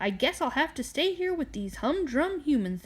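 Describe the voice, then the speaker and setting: A put-on character voice from a woman, high in pitch and moderate in pace. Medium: read story. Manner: squawking, yappy.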